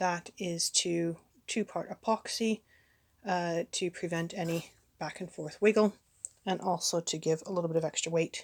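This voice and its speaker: A woman's fairly low voice with fairly even intonation and long, frequent pauses, dry and close with no echo. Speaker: crafter. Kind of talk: tutorial. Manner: halting, with fillers; casual.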